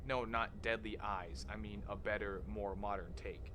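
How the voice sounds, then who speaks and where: A man's voice moves through very wide pitch swings. Room echo is audible. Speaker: horror content creator. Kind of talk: video essay narration.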